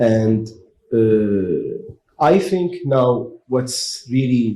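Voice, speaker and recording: Somewhat breathy and dark, mellow in tone, a man speaks with an Arabic accent. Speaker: panelist. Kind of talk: panel discussion.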